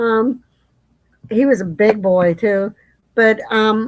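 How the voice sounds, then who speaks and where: Her pitch sits in the middle range, with intonation that holds fairly even. She has an unremarkable speaking voice. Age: 60s. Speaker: live stream host. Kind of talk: casual chat.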